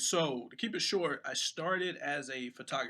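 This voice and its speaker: With an American accent, a man speaks in a bright, sharp tone with ordinary pitch variation. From US South, Atlanta, Georgia. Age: 30s. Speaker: cinematographer and photographer. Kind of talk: podcast interview.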